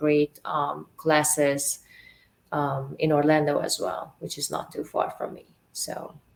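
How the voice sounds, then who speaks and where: The speaker has a Hungarian accent. The intonation stays flat and monotone. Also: woman. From Hungary, Budapest. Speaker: actress and model. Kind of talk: interview. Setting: radio show.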